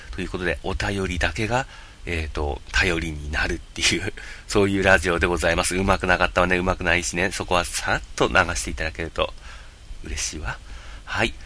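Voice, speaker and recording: Very deep and low in pitch, this man's voice has a bright, sharp tone. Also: ordinary pitch variation, fairly quick pace. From Japan, Yamagata. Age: 30s. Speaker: podcast host and game video streamer. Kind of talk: casual solo podcast monologue. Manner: hesitant, many fillers.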